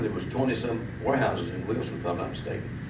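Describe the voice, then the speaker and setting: Over noticeable background noise, a man rattles along at a very fast pace. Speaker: tobacco auctioneer. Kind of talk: interview answer. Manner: casual, conversational.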